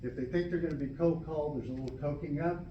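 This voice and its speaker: This man's voice sits fairly high in pitch and moves up and down in an ordinary way. Noticeable background noise runs behind him. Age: 70s. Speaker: law student. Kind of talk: public testimony to a board.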